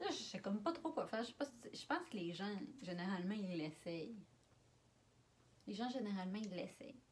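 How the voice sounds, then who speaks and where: A woman in a Quebec accent, fairly high in pitch, at a moderate pace. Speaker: vlogger. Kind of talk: casual talk to camera. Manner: playful, joking.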